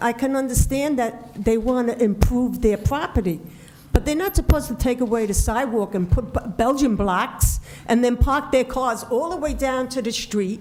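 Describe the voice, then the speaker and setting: A loud woman talks at a high pitch and a moderate pace, with ordinary pitch variation. Music plays in the background. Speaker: resident speaking at public comment. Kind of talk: public comment at council meeting.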